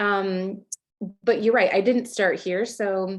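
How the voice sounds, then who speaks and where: A woman with an American accent talks at medium pitch with ordinary pitch variation. The background is quiet. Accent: American, noticeable to Australians. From California. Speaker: photographer. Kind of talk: podcast interview.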